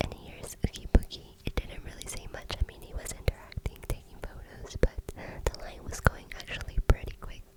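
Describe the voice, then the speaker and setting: Whispered words come at a fairly quick pace amid noticeable background noise. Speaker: ASMR creator. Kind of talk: ASMR vlog voiceover.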